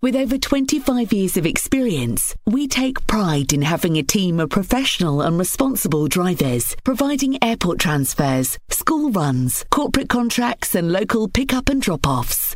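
An upbeat tone at a moderate pace with hardly any pauses, over noticeable background noise. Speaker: advert voiceover. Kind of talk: radio advert, scripted voiceover. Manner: upbeat, promotional.

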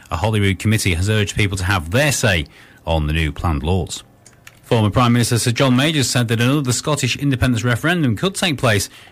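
This man speaks at a very fast pace. His voice is somewhat breathy. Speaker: radio newsreader. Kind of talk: scripted radio news bulletin. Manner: formal, brisk, neutral.

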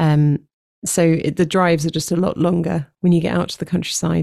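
A woman speaks at a moderate pace with a southern English accent, her very deep, low pitch carrying vocal fry and a dark, mellow tone, her intonation fairly even in a dry, close sound with no echo. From London, England. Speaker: worship leader and songwriter. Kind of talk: casual interview.

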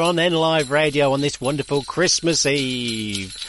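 A man speaks fairly slowly while noticeable noise fills the background. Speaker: local radio presenter. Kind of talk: radio DJ patter: chatty, jokey presenter links between songs, reading listener emails. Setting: local radio studio. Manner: animated, chummy and bantering, laughing at his own jokes; relaxed, casual, with fillers and self-interruptions.

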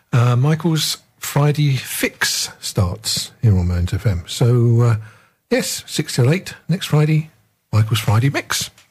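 A man's somewhat breathy voice at medium pitch, very even in loudness, at a very slow pace. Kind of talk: radio DJ patter, show-intro and station ident links. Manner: easygoing, casual, slightly hesitant with 'uh' fillers.

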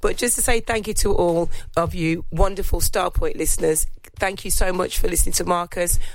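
A woman with a plain, everyday voice, moderate pace and fairly even intonation. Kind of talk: radio DJ patter: a warm, festive holiday greeting with thank-yous to listeners. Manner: cheery, warm and jolly, sprinkling in a playful "ho, ho, ho".

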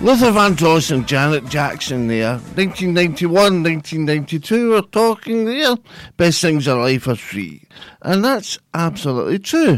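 A man with a Scottish accent speaks at a very slow pace in a high pitch, with very wide pitch swings and a relaxed, warm tone, on a very clean recording with a silent background. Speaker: radio presenter. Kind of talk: radio dj patter, live community station show. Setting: studio. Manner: relaxed, warm, chatty, easy-going, loosely rambling; unhurried, friendly, with station idents repeated.

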